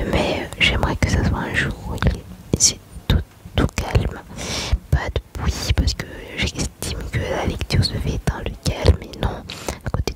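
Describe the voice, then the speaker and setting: A woman whispers at a very slow pace through noticeable background noise. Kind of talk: ASMR whispered chat and Bible reading. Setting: home, with background noise and rain. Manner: soft, whispered.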